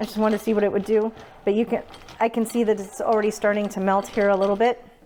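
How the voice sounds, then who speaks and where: Amid noticeable background noise, a woman with a fairly high pitch talks at a very fast pace in monotone, flat intonation. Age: 40s. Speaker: home baker. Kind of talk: casual cooking demonstration.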